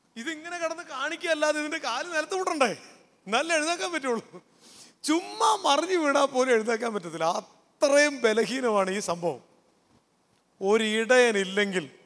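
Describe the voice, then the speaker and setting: With very wide pitch swings, a man speaks at an extremely high pitch. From Kerala, Kottayam; Kerala, India. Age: 40s. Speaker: pastor and counsellor; pastor. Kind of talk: youth camp talk. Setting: stage with audience. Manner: interactive, conversational. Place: stage. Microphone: handheld.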